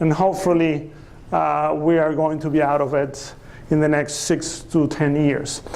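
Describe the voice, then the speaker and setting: Room echo is audible around a man's voice, along with noticeable background noise. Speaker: economist. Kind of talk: lecture.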